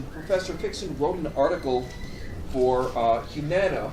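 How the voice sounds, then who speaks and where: Both room echo and noticeable background noise can be heard. The man delivers his words at a moderate pace. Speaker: event host. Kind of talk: formal introduction. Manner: loud. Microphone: far from the microphone.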